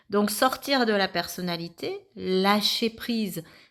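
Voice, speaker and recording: Ordinary pitch variation shapes an ordinary speaking voice, heard on a very clean recording with a silent background. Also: woman. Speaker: spiritual medium, card reader. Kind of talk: channelled card reading monologue.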